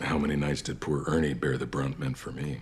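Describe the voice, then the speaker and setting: A man uses a put-on character voice, very deep, low and raspy, in a flat monotone. He moves at a fairly quick pace over light background noise. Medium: short film. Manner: measured, brooding.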